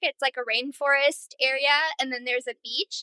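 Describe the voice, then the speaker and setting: A woman with an American accent speaks in a raised, projected voice at a high pitch, her tone bright, sharp and animated, with a dry, close sound and no echo. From US Midwest, northern Illinois. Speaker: hiker, podcast guest. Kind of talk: casual interview chat. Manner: animated, lots of fillers.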